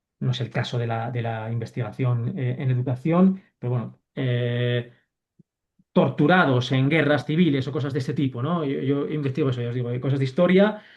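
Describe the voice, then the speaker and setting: A man's medium-pitched voice comes out somewhat breathy, its pitch varying in an ordinary way. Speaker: university lecturer. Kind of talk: online lecture. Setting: video call. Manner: fast.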